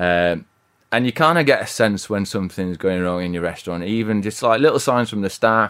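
A man with a West Yorkshire accent talks at a fairly quick pace, his pitch fairly low with ordinary variation. The recording is very clean, with a silent background. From Yorkshire, Bradford/Halifax. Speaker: restaurant co-founder. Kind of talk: interview. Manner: halting.

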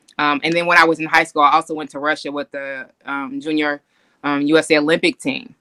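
Speaking fairly quickly with a Californian accent, a woman with a very deep, low pitch and a bright, sharp tone keeps her intonation fairly even while her loudness swings widely, in a dry, close sound with no echo. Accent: Californian American English. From US West Coast, Oakland, California. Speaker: basketball executive, former pro player. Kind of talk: interview chat. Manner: hesitant with frequent fillers.

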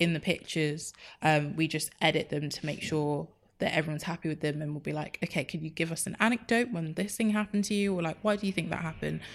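With a London accent and a fairly low pitch, a woman speaks very fast with ordinary pitch variation on a very clean recording with a silent background. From North London (Enfield). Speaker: community organiser and social media editor. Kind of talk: interview conversation.

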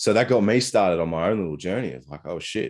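A man with an Australian accent talks at a fairly quick pace, with lively intonation and vocal fry. The background is quiet. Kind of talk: casual interview chat. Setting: remote call.

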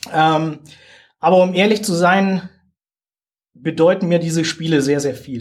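Very slow delivery with long, frequent pauses. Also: man, high pitch for a man, ordinary pitch variation. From southern Germany. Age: 40s. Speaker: soldier and games ambassador. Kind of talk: interview.

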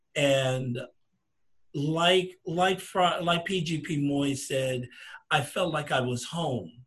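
A man speaks at a very slow pace. His fairly high voice is bright and sharp, with ordinary pitch variation. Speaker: fraternity alumnus. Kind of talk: panel discussion.

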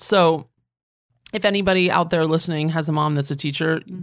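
A woman's very deep, low voice with an American accent and fairly even intonation, on a very clean recording with a silent background. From Northern Virginia, US East Coast. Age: 30s. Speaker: skincare brand founder and podcaster. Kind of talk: interview conversation. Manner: casual, filler-heavy (um, like).

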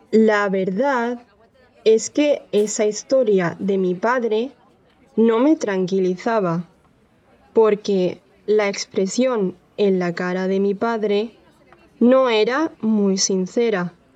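A woman's fairly high voice at a very slow pace, with ordinary pitch variation and long, frequent pauses. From Andalucía, southern Spain. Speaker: language-learning storyteller. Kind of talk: scripted personal story narration for learners. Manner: clear; calm, measured storytelling pace.

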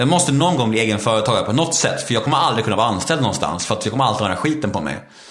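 The speech runs very fast with hardly any pauses, very wide pitch swings and very even loudness, with audible room echo and noticeable background noise. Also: man, medium pitch for a man. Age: 30s. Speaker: former reality TV participant, speaker and podcaster. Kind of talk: interview about personal recovery story. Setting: at home in his kitchen.

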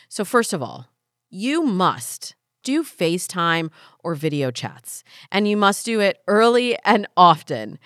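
The pace is fairly slow. It's a very clean recording with a silent background and a dry, close sound with no echo. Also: woman, medium pitch for a woman. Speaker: dating advice podcast host.

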